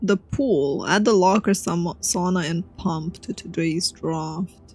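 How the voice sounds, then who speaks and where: Somewhat breathy, a woman with a Romanian accent speaks at a very slow pace. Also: fairly low pitch for a woman, ordinary pitch variation. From Romania, Bucharest. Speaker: vtuber streamer. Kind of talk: gaming livestream commentary. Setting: livestream.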